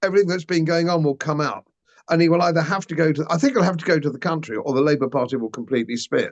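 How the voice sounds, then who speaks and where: In an English accent, a man talks at a very fast pace with a fairly high pitch and ordinary pitch variation. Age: 70s. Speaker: former politician and commentator. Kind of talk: interview.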